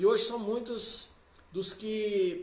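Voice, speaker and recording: Audible room echo around a high-pitched male voice with ordinary pitch variation. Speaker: pastor. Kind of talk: sermon. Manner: animated.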